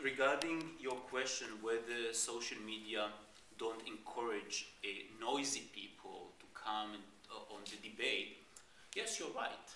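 With an Israeli accent, a man talks at a fairly slow pace with ordinary pitch variation, light background noise and audible room echo. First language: Hebrew. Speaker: diplomat. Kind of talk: panel debate. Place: classroom.

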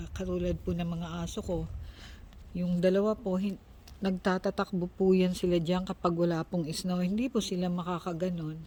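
A woman speaks in a fairly low, somewhat breathy voice with a dark, mellow tone and flat, monotone intonation. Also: moderate pace. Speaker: vlogger. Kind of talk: casual vlog narration.

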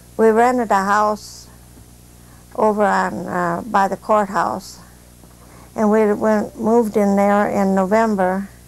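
The delivery is monotone with flat intonation, moving at a fairly slow pace. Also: woman. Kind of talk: oral history interview answer. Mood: calm, reminiscing. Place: home room.

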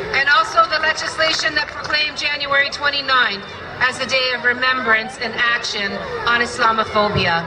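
Crowd noise fills the background as a woman speaks in a raised, projected voice. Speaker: politician giving a speech. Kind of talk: formal public speech. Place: stage. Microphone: pa.

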